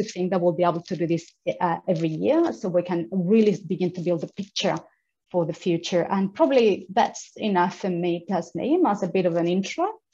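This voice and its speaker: A woman with a non-native accent talks at a fairly quick pace, her medium pitch showing ordinary variation. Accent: non-native accent, noticeable. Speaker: women's advocacy organisation founder. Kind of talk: event speech. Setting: video call. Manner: halting, many repetitions.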